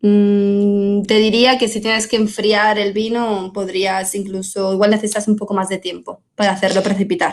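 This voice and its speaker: Monotone, flat intonation marks this woman's medium-pitched delivery at a moderate pace with hardly any pauses. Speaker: wine technical support specialist. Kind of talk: webinar Q&A. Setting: online webinar.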